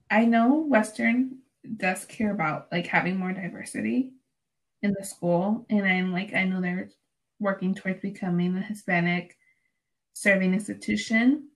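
A woman at medium pitch, somewhat breathy, with ordinary pitch variation and a moderate pace. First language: Spanish. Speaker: student podcast host. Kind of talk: casual chat. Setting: remote recording.

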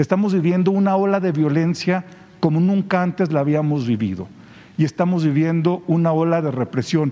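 The speaker talks at a moderate pace with ordinary pitch variation and very even loudness. Noticeable background noise runs underneath. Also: man, high pitch for a man. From Mexico, San Luis Potosí. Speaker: journalist. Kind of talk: press conference question.

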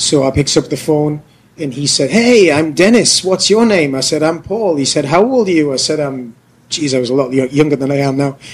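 In a British accent, a man talks at a fairly high pitch. His pace is moderate and his intonation lively. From England. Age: 30s. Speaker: podcast co-host, English teacher in Korea. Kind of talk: casual chat. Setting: bar. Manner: animated.

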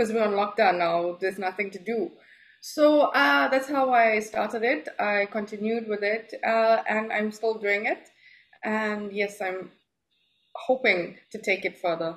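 With a South African accent, a woman speaks at a fairly slow pace and a fairly high pitch. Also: ordinary pitch variation. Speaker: home chocolatier and marketer. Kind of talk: casual interview. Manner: hesitant, filler-heavy.

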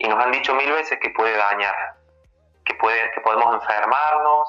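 Speaking at a moderate pace with ordinary pitch variation, a man has an unremarkable speaking voice. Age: 30s. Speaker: workshop facilitator on masculinities. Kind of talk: interview. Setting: phone call.

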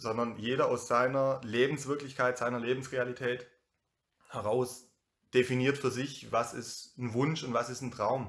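The man speaks fairly slowly at medium pitch in a monotone, flat intonation. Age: 30s. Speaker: youth worker and DJ. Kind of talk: casual conversation.

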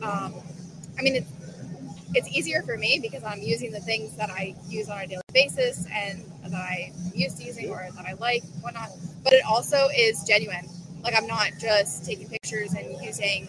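Her loudness swings widely and her intonation is lively, with noticeable background noise behind the woman's voice. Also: medium pitch for a woman, moderate pace. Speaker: detailing instructor. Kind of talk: casual interview.

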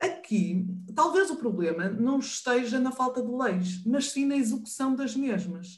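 With a northern Portuguese accent, a woman speaks at a fairly slow pace. Her high pitch carries lively intonation, and audible room echo is present. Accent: northern European Portuguese. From northern Portugal. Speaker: professor and sign language interpreter. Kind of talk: online panel discussion.

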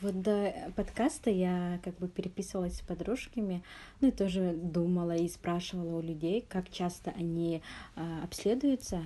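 A woman's dark, mellow tone, fairly low in pitch with ordinary pitch variation, over a quiet background. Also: moderate pace. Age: 20s. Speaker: podcast host. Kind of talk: interview.

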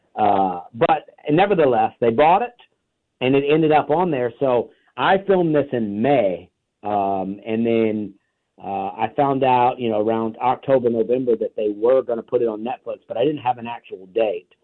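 With an ordinary speaking voice, a man talks at a moderate pace, his medium pitch carried by lively intonation. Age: 40s. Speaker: stand-up comedian. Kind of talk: interview.

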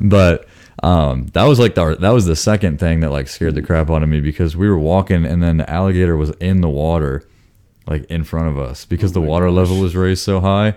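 A man with an American accent talks at a very fast pace. His very deep, low voice has a dark, mellow tone and ordinary pitch variation. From Florida. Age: 20s. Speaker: guest. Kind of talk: casual chat.

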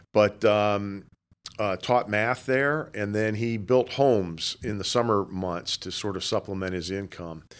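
Recorded very cleanly with a silent background, a man with an American accent speaks fairly slowly in a fairly low pitch with ordinary variation. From South Florida (Boca Raton). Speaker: nonprofit foundation president. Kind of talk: interview. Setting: office. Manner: hesitant, many fillers.

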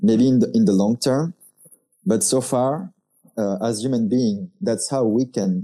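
A man's dark, mellow voice with very wide pitch swings. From France. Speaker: designer and podcast host. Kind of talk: casual chat.

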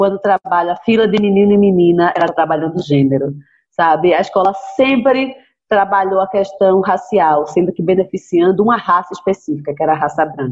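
A woman talks at a fairly quick pace in an unremarkable speaking voice. Her pitch is medium, with ordinary pitch variation. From Brazil, Recife (Pernambuco). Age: 40s. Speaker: writer. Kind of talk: interview.

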